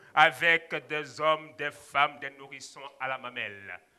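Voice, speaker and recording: A man speaks in a raised, projected voice at a very slow pace. The background is quiet. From Ivory Coast. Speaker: storyteller. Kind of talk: live storytelling performance. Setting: stage. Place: hall. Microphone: headset.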